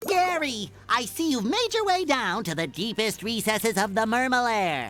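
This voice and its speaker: A put-on character voice at a fairly high pitch. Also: moderate pace. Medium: video game. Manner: excitable, high-energy.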